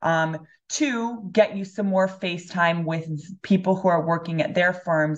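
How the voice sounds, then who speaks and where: At a fairly slow pace, a woman with an American accent speaks in an unremarkable speaking voice, fairly low in pitch with ordinary pitch variation. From Los Angeles, California. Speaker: MBA student, former pro water polo player. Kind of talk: casual interview.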